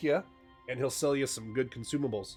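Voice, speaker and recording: A man speaks with ordinary pitch variation while music plays behind him. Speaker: streamer, gaming content creator. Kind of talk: game tutorial voice-over. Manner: casual.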